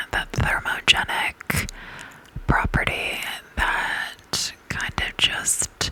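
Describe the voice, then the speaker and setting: Someone is whispering. Noticeable background noise sits behind it. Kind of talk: ASMR whisper reading about essential oils. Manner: whispered, soft-spoken.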